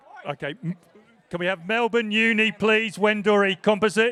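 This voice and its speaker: Amid noticeable background noise, a man with an English accent speaks at a high pitch with ordinary pitch variation. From England. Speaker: presentation announcer at rowing regatta. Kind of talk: live event announcing and crew interviews.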